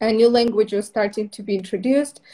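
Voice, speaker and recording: With an Eastern European accent, a woman speaks at a fairly high pitch in a dark, mellow tone with fairly even intonation. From Moldova. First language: Russian. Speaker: permanent makeup trainer. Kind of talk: casual interview.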